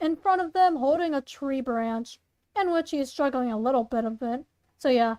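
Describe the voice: A woman's high-pitched voice at a fairly quick pace, slightly mellow in tone, with ordinary pitch variation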